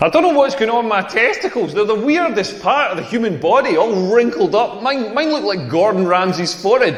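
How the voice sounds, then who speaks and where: Speaking high and at a fairly quick pace, a man with a Scottish accent swings his pitch very widely and hardly pauses, over noticeable background noise. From rural Scotland. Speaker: comedian. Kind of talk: stand-up. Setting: stage with audience. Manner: animated.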